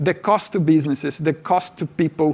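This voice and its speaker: A man speaks with a Portuguese accent. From Brazil. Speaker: tech speaker. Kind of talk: conference talk.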